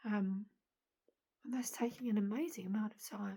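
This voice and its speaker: Somewhat breathy, a woman speaks at a moderate pace. Her pitch is fairly high and her tone dark and mellow. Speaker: vlogger. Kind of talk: personal video diary.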